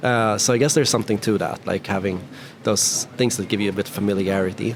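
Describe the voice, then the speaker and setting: Over noticeable background noise, a speaker with a Swedish accent talks at a very fast pace with fairly even intonation. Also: man, fairly low pitch for a man. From Sweden. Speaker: YouTube interviewer. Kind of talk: casual interview.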